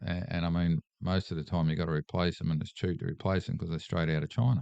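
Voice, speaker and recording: Very fast and very deep, a man with an Australian accent speaks in a dark, mellow tone with ordinary pitch variation. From Australia, Sydney area. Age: 60s. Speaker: political candidate. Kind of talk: casual chat.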